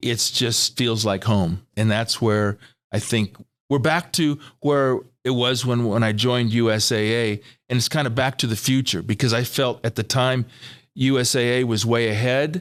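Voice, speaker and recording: On a very clean recording with a silent background, a man with an American accent and a normal speaking voice talks at a moderate pace, medium in pitch, with ordinary pitch variation and very even loudness. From California. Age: 60s. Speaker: financial planning mentor. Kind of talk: interview.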